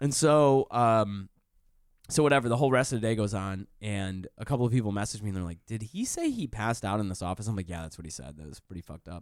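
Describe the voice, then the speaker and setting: Talking at a very fast pace with lively intonation, a man with a Michigan accent and a fairly low pitch comes through on a very clean recording with a silent background. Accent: Midwestern American (Michigan). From Detroit area, Michigan. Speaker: comedian and writer. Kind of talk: casual chat. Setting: studio.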